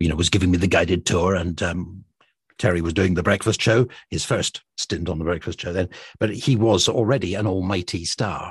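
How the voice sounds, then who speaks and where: A man's very deep, low, somewhat breathy voice with a Scottish accent, at a moderate pace, over a quiet background. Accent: soft Scottish. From Scotland. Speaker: radio presenter. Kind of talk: casual chat.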